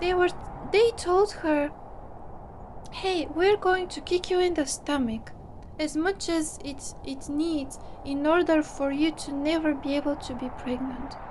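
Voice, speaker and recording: A woman with a non-native accent and a high pitch speaks at a fairly slow pace with ordinary pitch variation, over noticeable background noise. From small non-English-speaking country. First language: not English. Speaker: psychologist. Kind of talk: personal monologue. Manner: halting.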